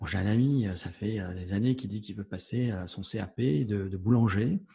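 In a dark, mellow tone, a somewhat breathy man talks at a fairly slow pace with lively intonation. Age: 50s. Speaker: podcast host, comedian. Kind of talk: interview.

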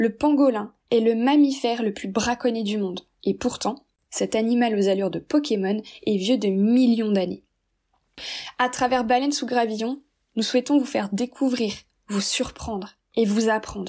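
In a very clean recording with a silent background, a woman speaks at a moderate pace with long, frequent pauses, using a fairly high pitch, fairly even intonation and a dark, mellow tone. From Brittany, France. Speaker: marine biology graduate. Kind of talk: scripted self-introduction.

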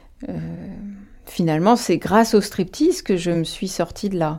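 A woman's medium-pitched voice with a dark, mellow tone, ordinary pitch variation and a fairly slow pace, in a very clean recording with a silent background. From Paris suburbs, France. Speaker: dancer and writer. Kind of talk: personal testimony. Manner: hesitant, frequent fillers.

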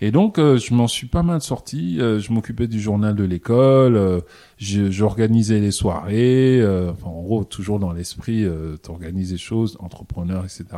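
Fairly low in pitch with a dark, mellow tone, a man talks at a fairly slow pace with ordinary pitch variation. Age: 30s. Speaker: entrepreneur. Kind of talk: interview. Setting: office.

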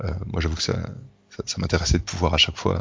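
There is noticeable background noise. Through it, a man talks with a very deep, low pitch. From France. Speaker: engineer living abroad. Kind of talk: interview. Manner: halting.

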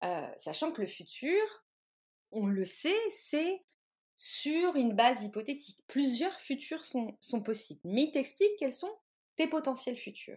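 Very slowly, a woman talks in a high voice with very wide pitch swings. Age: 30s. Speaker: tarot reader and artist. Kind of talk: interview. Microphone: sound problems, noises and lag.

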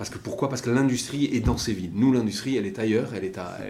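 A man at a very fast pace with ordinary pitch variation and audible room echo. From French Basque Country. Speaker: maritime pilot. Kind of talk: interview. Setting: room overlooking the port.

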